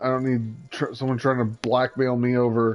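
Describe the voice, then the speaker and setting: With music in the background, the speaker talks in a monotone, flat intonation with a Midwestern accent. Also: man. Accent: Midwestern, noticeable. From US Midwest. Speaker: gaming livestreamer. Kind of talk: casual chat.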